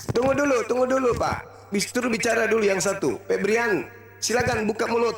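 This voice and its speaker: Over background music, a man talks at an extremely high pitch and a fairly quick pace, with ordinary pitch variation and very even loudness. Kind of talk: heated debate.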